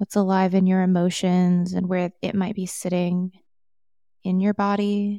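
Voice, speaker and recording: A woman speaks at a fairly slow pace in a calm, gentle tone that is dark and mellow, with monotone, flat intonation and a dry, close sound with no echo. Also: medium pitch for a woman. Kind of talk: guided meditation. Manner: soft, slow, soothing; calm, gentle, unhurried with pauses.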